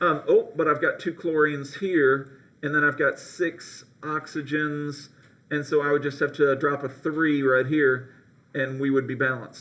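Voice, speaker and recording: This man's voice sits fairly high and has a bright, sharp tone. He speaks at a fairly slow pace with monotone, flat intonation. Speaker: high school chemistry teacher. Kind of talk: classroom lecture. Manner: many filler ums.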